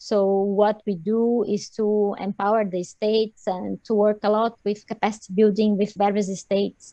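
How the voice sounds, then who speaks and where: In a Portuguese accent, a woman speaks in a flat monotone with hardly any pauses. Her tone is dark and mellow, and the sound is dry and close with no echo. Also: medium pitch for a woman, moderate pace. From Brazil. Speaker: lawyer, crime prevention officer. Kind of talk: online panel introduction.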